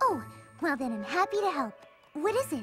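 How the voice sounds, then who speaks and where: A cartoonish character voice pitched high and moving at a fairly quick pace. Clear music plays in the background. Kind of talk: cartoon voice acting. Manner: timid, gentle, hesitant.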